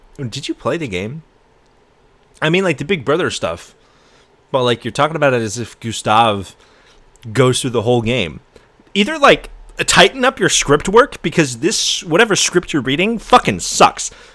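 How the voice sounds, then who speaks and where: An animated man with a bright, sharp tone, fairly high pitch, vocal fry, very wide pitch swings, moderate pace and long, frequent pauses. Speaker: streamer reacting to a video. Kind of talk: live stream reaction commentary. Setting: live stream.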